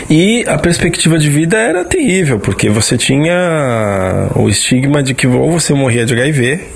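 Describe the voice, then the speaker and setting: A man talks at a moderate pace with lively intonation. Noticeable background noise and audible room echo surround his voice. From São Paulo. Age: 30s. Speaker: artist, listener sending audio. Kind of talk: recorded testimony.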